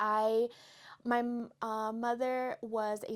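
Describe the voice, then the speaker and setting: A woman's voice, fairly high in pitch. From US, San Diego border area. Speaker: podcast host, book reviewer. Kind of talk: casual book review chat. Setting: home, on a couch.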